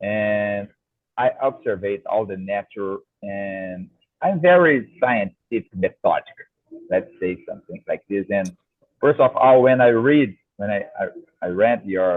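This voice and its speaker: With a Brazilian Portuguese accent, a man speaks at a fairly slow pace and medium pitch, his intonation lively and broken by long, frequent pauses. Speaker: co-host, agronomist and musician. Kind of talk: casual interview chat. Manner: halting, many false starts; too quiet.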